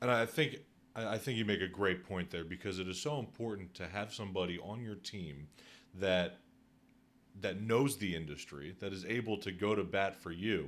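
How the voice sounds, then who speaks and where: With a plain, everyday voice, a man talks at a moderate pace with fairly low pitch and ordinary pitch variation. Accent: American. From Northeast Philadelphia. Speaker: podcast host, real estate agent. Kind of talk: podcast interview.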